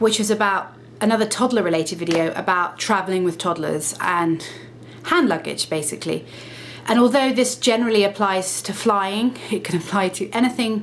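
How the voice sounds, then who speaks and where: Noticeable background noise accompanies a woman speaking at a moderate pace. Her pitch is medium, with ordinary variation. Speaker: lifestyle vlogger. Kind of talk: casual vlog talk to camera.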